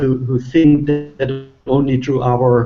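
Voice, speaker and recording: This man speaks with a German accent in a flat, monotone delivery. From Germany. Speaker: relationship author. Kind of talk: panel discussion.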